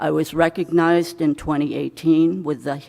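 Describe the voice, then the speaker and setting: A woman with a New England accent, very deep, low pitch, monotone, flat intonation and a fairly slow pace. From Maine. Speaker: legislative candidate. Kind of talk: candidate opening statement. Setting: candidates night event.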